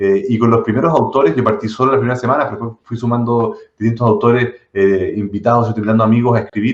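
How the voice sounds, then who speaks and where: At a fairly quick pace, a man with a medium pitch speaks in a Chilean accent. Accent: Chilean Spanish, fully. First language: not Spanish (speaking Spanish). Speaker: tech entrepreneur. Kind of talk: interview conversation. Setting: live stream. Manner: hesitant, many fillers and repetitions.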